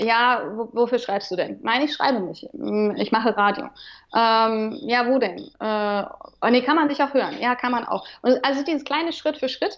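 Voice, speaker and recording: Her high-pitched voice moves at a fairly slow pace, and the woman shows ordinary pitch variation. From Remscheid, western Germany. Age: 30s. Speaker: radio presenter. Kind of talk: casual interview chat. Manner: hesitant, many fillers.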